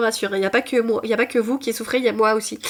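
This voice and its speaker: A woman speaks at a fairly high pitch. There is noticeable background noise. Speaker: booktuber. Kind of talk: casual vlog chat. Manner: halting.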